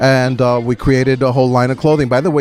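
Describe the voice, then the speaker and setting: Music plays in the background as a man with a New York accent speaks at a medium pitch and a fairly quick pace in a monotone, flat way. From New York City. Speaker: pet fashion designer. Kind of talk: interview answer.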